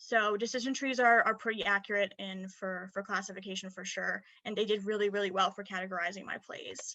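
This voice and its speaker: A woman with a bright, sharp tone and medium pitch talks in a monotone, flat way, her loudness swinging widely, with hardly any pauses against a quiet background. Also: fairly quick pace. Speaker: student presenter; presenter. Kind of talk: academic presentation. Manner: fast; hesitant fillers. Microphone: webcam.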